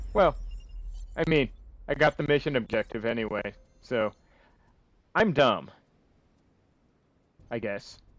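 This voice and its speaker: Speaking at a fairly slow pace with long, frequent pauses, a man uses lively intonation at a medium pitch on a very clean recording with a silent background. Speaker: gaming video creator. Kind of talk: let's play commentary. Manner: casual, thinking aloud.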